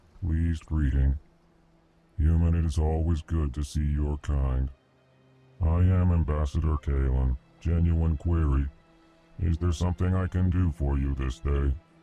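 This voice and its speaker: A man puts on a character voice with a very deep, low pitch at a moderate pace. He takes long, frequent pauses while faint music plays in the background. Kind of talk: formal, courteous. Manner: very slow, methodical.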